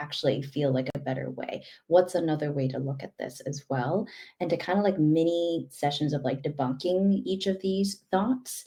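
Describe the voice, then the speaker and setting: A woman speaks at a moderate pace in a very deep, low pitch, with a dark, mellow tone, a somewhat breathy quality and ordinary pitch variation. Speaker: life coach. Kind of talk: conversational interview. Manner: runs words together.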